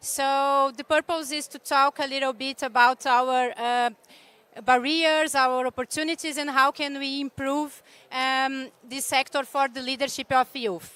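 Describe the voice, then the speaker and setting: A woman's high, raised, projected voice with a non-native accent, a bright, sharp tone, monotone, flat intonation and a fairly slow pace, in a dry, close sound with no echo. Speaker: panel moderator, executive director of youth climate organization. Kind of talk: panel moderation. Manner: halting.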